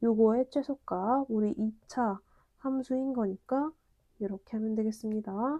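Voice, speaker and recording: Very slow speech with ordinary pitch variation, a dark, mellow tone, a dry, close sound with no echo, and a quiet background. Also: woman. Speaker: math lecturer. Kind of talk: lecture.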